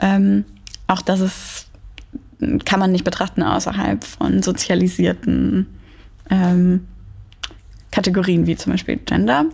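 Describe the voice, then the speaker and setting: A woman with a very deep, low pitch talks at a very slow pace, her loudness very even and her pitch swinging very widely, with long, frequent pauses and noticeable background noise. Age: 20s. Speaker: dance dramaturge. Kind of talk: interview. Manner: hesitant with frequent fillers.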